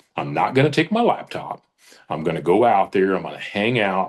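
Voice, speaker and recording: Here a man speaks with a fairly low pitch. His intonation is lively. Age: 60s. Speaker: business leader, author. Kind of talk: interview.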